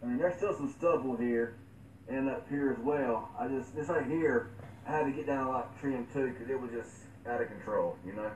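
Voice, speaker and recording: Over noticeable background noise, a man speaks at a moderate pace with medium pitch and ordinary pitch variation. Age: 20s. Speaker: tech live streamer. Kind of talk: live stream chat. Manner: halting; repetitive stammering.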